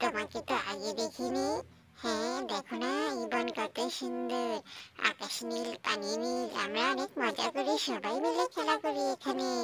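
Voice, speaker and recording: A cartoonish character voice at a low-to-middle pitch talks at a fairly slow pace. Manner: croaking refrain "gyang or gyang".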